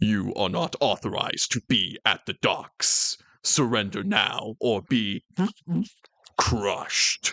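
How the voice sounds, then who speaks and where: A man's robotic, put-on character voice at a fairly slow pace. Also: medium pitch for a man. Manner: cold, threatening.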